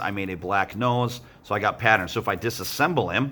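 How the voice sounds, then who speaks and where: A man with a bright, sharp tone talks fairly quickly at a fairly low pitch and ordinary pitch variation. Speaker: art teacher. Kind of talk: tutorial. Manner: fast; casual, encouraging.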